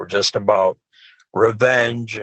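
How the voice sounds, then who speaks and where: Speaking with an American accent, a man takes a fairly slow pace. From US Midwest (Wisconsin, northern Illinois). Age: 50s. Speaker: death metal guitarist and horror novelist. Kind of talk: casual chat. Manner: animated.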